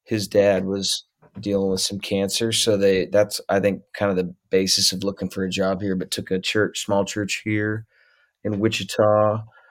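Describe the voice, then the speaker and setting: Over a silent background in a very clean recording, a man with a US Midwestern accent speaks in a monotone, flat way at a fairly low pitch and moderate pace. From Ohio, US Midwest (Middletown). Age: 30s. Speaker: musician. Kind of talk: casual chat.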